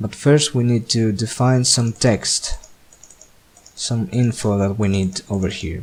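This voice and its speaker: Speaking at a fairly slow pace with a non-native accent and ordinary pitch variation, a man is heard over noticeable background noise. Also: medium pitch for a man. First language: not English. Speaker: game mapping tutorial maker. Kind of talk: screen-recorded software tutorial narration.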